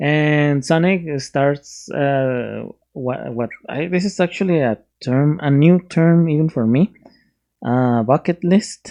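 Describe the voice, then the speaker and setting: The speaker has a Spanish accent and talks at a very slow pace. The background is quiet. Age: 30s. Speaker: YouTube movie reviewer. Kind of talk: casual movie review. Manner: halting, many fillers and restarts.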